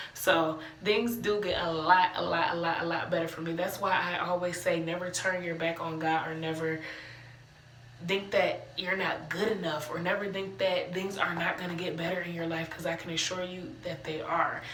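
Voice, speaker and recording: A woman with an American accent, fairly low in pitch, at a moderate pace with fairly even intonation, amid audible room echo and noticeable background noise. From Cleveland, Ohio (US Midwest). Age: 20s. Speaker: aspiring motivational speaker, vlogger. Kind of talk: personal testimony monologue. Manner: casual, conversational with fillers.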